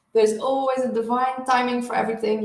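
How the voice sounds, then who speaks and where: A woman at a fairly high pitch and moderate pace, with audible room echo. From southern Netherlands. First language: Dutch. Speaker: spiritual healer and oracle card reader. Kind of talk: live stream card reading. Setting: live stream. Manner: halting, many fillers.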